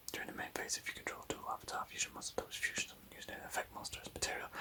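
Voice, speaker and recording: Whispering at a very fast pace, a man speaks over noticeable background noise. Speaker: ASMR card collector. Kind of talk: ASMR card binder review. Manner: whispered.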